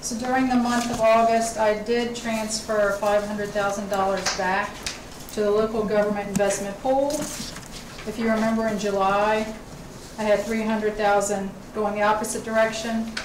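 Over noticeable background noise, a woman speaks fairly slowly in a flat monotone. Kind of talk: formal report at a public meeting. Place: meeting room.

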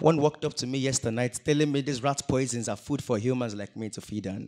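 A man speaks in a dramatic tone at a fairly quick pace. The background is quiet. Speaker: spoken word poet. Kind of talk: solemn spoken word performance, confessional poem on male depression. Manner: dramatic, pleading, heavily rhythmic delivery; emotive with vocal sound effects. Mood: emotional, pleading. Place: stage. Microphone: handheld.

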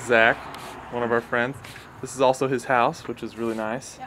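Fairly even intonation marks this man's speech against light background noise. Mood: playful, laughing. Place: street. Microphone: camera far.

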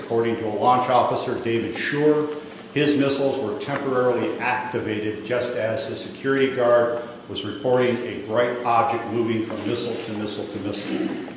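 Amid light background noise and audible room echo, a man talks at a moderate pace with fairly even intonation. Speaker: press conference host. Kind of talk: prepared statement. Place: hall. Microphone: podium.

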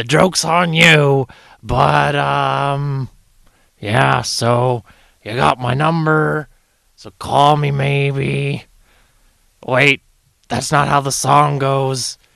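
Using a put-on character voice, a man speaks at a very slow pace and medium pitch, with long, frequent pauses. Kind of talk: comedic parody voicemail.

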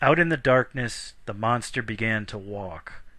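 A man talks at a fairly slow pace in a normal speaking voice. His pitch is medium. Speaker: audiobook narrator. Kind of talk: reading aloud an epic poem, scripted narration. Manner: measured, formal, steady storyteller's cadence.

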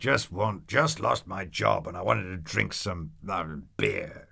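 In a put-on character voice, a man growls in a raspy, fairly low pitch at a fairly slow pace, his loudness swinging widely. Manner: growling, quarrelsome.

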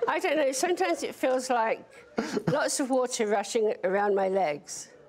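Speaking at a moderate pace in a British accent, a woman has a high pitch with very wide pitch swings but very even loudness. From Britain. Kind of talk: interview. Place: studio.

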